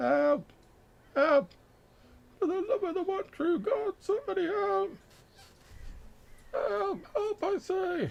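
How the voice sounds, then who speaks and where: In a put-on character voice with extremely high pitch, the speaker goes at a fairly slow pace with long, frequent pauses. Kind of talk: old-fashioned, pleading.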